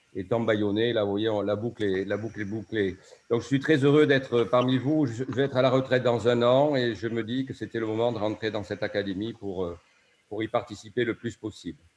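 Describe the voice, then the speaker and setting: A man in an ordinary speaking voice talks at a fairly quick pace, at medium pitch with fairly even intonation. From southwest France, Bayonne (Basque Country). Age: 60s. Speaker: surgeon. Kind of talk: acceptance speech. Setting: video call.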